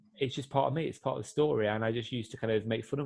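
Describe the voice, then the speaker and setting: Somewhat breathy speech at a very fast pace, with ordinary pitch variation. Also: man. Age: 20s. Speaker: adventurer and motivational speaker. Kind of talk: interview conversation. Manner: halting, with fillers and repetitions.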